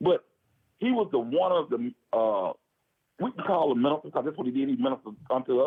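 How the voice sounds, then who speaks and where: The voice is loud, with very wide pitch swings and a very fast pace. Long pauses are frequent. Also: man, fairly high pitch for a man. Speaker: former prisoner. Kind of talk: casual chat.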